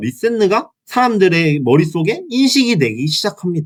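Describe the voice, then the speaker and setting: An animated tone with very wide pitch swings. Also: man. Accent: Gyeongsang. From Gyeongsang region, South Korea. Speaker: YouTuber. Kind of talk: casual video commentary.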